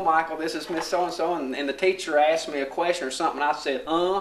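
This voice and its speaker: Talking very fast in a Southern US accent, a man with a high pitch keeps his intonation fairly even over noticeable background noise. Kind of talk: casual chat.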